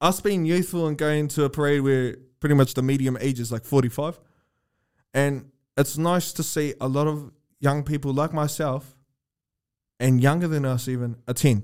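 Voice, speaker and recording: A man with a New Zealand accent talks at a moderate pace in a fairly high pitch, his intonation fairly even and his pauses long and frequent, on a very clean recording with a silent background. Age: 20s. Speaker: podcast host. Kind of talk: casual chat.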